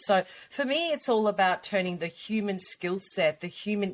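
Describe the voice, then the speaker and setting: Lively intonation from a woman at medium pitch with an Australian accent. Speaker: personal brand coach. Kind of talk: podcast interview.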